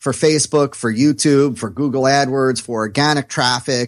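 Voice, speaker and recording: A man speaks at a moderate pace, his pitch varying in an ordinary way, on a very clean recording with a silent background. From New Jersey. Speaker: online marketing consultant. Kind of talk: interview.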